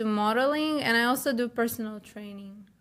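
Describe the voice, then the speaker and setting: A woman talks at a fairly quick pace in a Ukrainian accent. Her pitch is high. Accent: Ukrainian, noticeable. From Ukraine. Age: 20s. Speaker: model and personal trainer. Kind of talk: interview. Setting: podcast studio.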